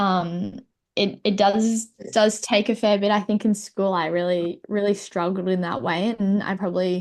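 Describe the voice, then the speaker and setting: Someone with an Australian accent talks at a moderate pace with fairly even intonation. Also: woman, medium pitch for a woman. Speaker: para-athlete guest. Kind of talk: casual chat. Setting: video call.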